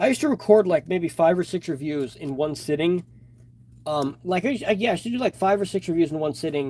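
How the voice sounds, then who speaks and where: A loud man at a fairly quick pace, high-pitched, with a dark, mellow tone. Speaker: toy reviewer and customizer. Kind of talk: live stream chat while customizing. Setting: live stream.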